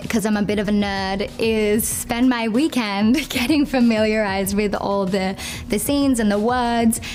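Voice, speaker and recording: A woman with an Australian accent and fairly high pitch, her intonation fairly even and loudness very even, with music in the background. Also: moderate pace. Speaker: soap opera actor. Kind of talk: interview.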